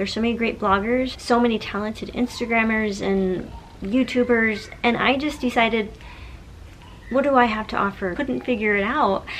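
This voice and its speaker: Fairly high-pitched woman at a moderate pace, intonation fairly even, noticeable background noise throughout. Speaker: social media blogger and mom coach. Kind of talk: tutorial. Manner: casual, conversational.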